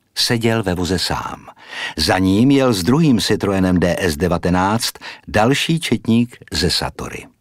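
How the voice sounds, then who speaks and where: Very slowly, a man with a fairly low pitch delivers his lines in a dramatic tone with very wide pitch swings. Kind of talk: audiobook narration, scripted reading aloud. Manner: measured, formal, storytelling pace with dramatic, suspenseful delivery.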